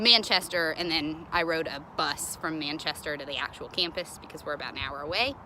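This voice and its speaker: Very deep, low-pitched woman's voice at a fairly quick pace, hardly any pauses, over noticeable background noise. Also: ordinary pitch variation. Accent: Southern US. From Kentucky, US South. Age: 20s. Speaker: college student studying abroad. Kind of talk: casual video message answering questions. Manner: casual with many fillers.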